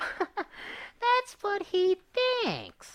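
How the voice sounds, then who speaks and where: A man does a squeaky, put-on character voice pitched extremely high. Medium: read story. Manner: sneering, mischievous.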